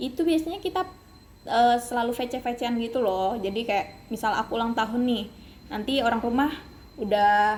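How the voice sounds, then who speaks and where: Moderate pace with ordinary pitch variation. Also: woman. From Kalimantan, Indonesia. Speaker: university student. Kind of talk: casual interview. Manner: hesitant, many fillers.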